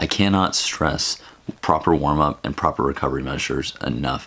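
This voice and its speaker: A man with very deep, low pitch and ordinary pitch variation at a moderate pace, over noticeable background noise. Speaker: fitness vlogger, marathon runner. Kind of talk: casual vlog.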